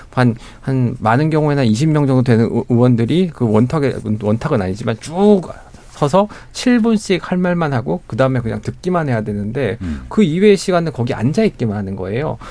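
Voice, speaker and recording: A man with a medium-pitched voice speaks at a moderate pace, swinging very widely in pitch. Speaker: newspaper reporter. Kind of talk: radio panel debate. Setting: radio studio.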